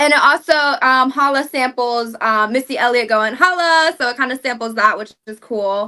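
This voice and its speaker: Against a quiet background, a woman with a bright, sharp tone speaks at a high pitch, with ordinary pitch variation and big swings in loudness. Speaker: singer promoting debut album. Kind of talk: casual interview chat. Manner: fast.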